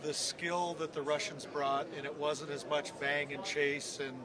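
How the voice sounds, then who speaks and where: Noticeable background noise sits under a dry recording with no echo. A man speaks at a fairly slow pace with fairly even intonation. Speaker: guest. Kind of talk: interview answer. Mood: relaxed, reminiscing. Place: studio. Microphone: handheld.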